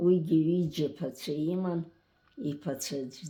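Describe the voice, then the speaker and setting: Very slow and somewhat breathy, a woman speaks in a very deep, low pitch with a dark, mellow tone. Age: 80s+. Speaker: elderly relative interviewee. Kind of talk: casual chat.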